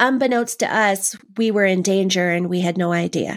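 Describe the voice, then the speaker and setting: With a Californian accent, a woman speaks fairly slowly at a medium pitch and with fairly even intonation, in a very clean recording with a silent background. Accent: General American, Californian. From US West Coast, Southern California. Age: 50s. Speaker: author. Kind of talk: interview, personal testimony.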